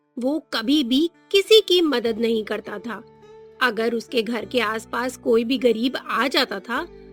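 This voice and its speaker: A woman speaks at a high pitch with lively intonation. Music plays in the background. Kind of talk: children's cartoon story narration.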